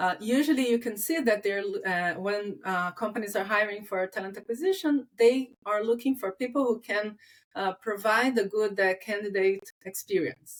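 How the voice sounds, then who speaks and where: Speech in a non-native accent at a moderate pace, with ordinary pitch variation, on a very clean recording with a silent background. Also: woman, fairly high pitch for a woman. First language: not English. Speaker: talent acquisition recruiter. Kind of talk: casual interview chat. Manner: halting, many fillers.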